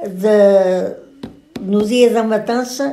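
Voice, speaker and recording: Using fairly even intonation, a woman with a European Portuguese accent speaks at a fairly high pitch. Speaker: grandmother recounting old village life. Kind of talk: interview answer.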